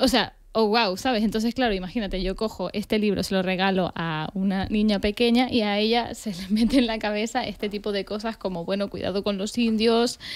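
A woman speaks at a medium pitch and a fairly quick pace, with hardly any pauses. Her intonation stays fairly even, and the background is quiet. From Argentina, raised in Tenerife from age 10; Argentina. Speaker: podcast co-host. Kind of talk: casual chat. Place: studio. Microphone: studio mic.

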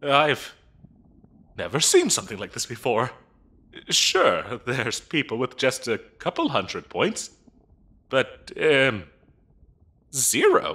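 Using a put-on character voice, a man talks slowly with long, frequent pauses, a medium pitch, very wide pitch swings, and a bright, sharp tone with a slightly husky edge.

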